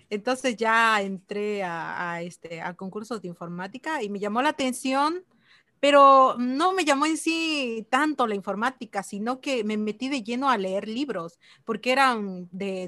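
Against a quiet background, a woman's fairly high, bright, sharp voice moves at a fairly slow pace with lively intonation, the sound dry and close with no echo. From Mexico, Chiapas. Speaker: mobile developer and online course instructor. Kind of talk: casual interview.

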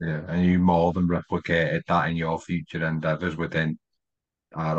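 Very deep and low in pitch, a man with a northwest English accent talks at a moderate pace in a monotone, flat intonation, the sound dry and close with no echo. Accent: north-west English. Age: 30s. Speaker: podcast host. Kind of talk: casual chat.

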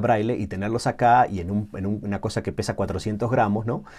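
A man's fairly low, dark and mellow voice, with ordinary pitch variation and a fairly quick pace. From Uruguay. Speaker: technology manager at assistive tech company. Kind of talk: interview.

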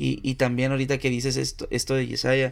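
The speaker is a man. His recording is very clean, with a silent background. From Mexico, Tampico, Tamaulipas. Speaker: podcaster. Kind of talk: casual chat.

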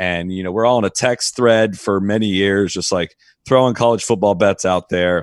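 A man with a Midwestern accent speaks at a moderate pace and fairly low pitch, his intonation fairly even, on a very clean recording with a silent background. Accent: General American (Midwest). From Ohio, US Midwest. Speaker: golf podcast host. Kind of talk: casual chat.

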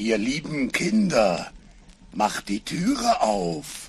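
A man puts on a character voice at a medium pitch and drags his words out at a very slow pace. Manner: feigning a gentle mother's call.

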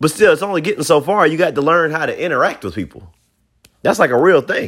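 This man talks at a very fast pace. His tone is animated. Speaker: podcast host. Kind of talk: casual monologue.

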